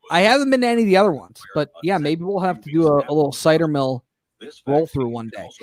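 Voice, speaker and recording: The recording is dry and close with no echo, and the speaker has a Michigan accent and lively intonation. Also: man. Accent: Inland North US (Michigan). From Michigan, Detroit area. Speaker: fill-in radio talk show host. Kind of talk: talk radio, reading listener messages and chatting. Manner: casual, halting with many fillers.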